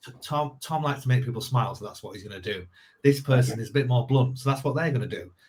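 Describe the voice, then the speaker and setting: A somewhat breathy man's voice at a very fast pace with ordinary pitch variation. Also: medium pitch for a man, big swings in loudness. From northern England. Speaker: sales coach. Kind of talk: podcast interview. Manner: hesitant with many repetitions.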